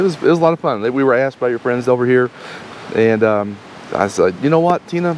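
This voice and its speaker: A man's medium-pitched voice at a very fast pace, with lively intonation and noticeable background noise. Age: 50s. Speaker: RV travel vlogger. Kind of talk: casual chat.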